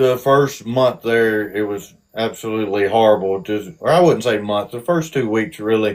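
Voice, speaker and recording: Hardly pausing, a man with a strong Southern US accent speaks at a medium pitch with ordinary pitch variation. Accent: Southern US drawl, strong. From South Georgia, US. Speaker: army veteran. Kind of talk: interview. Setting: live stream. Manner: halting.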